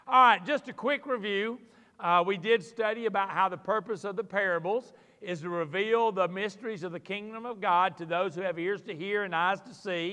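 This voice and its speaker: A man speaks in a raised, projected voice at a moderate pace. His pitch variation is ordinary, and the background is quiet. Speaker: teacher or pastor. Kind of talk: sermon. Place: church.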